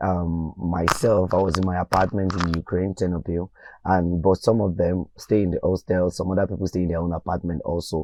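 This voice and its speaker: At a fairly quick pace, a man with a Nigerian accent speaks in a very deep, low pitch and a dark, mellow tone, his intonation fairly even against a quiet background. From Nigeria, Ogun State. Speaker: medical student. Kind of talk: interview testimony.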